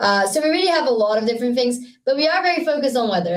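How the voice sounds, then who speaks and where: A woman speaks with a Brazilian accent. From Brazil (Rio de Janeiro). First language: Portuguese. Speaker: startup founder. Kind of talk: podcast interview. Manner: halting with many fillers and repetitions.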